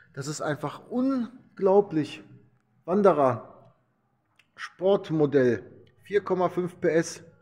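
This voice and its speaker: This is a man's voice. The pitch moves up and down in an ordinary way. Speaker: vlogger touring a motorcycle museum. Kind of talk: casual walkthrough vlog commentary. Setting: indoors in a vehicle museum. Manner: hesitant with repetitions and fillers.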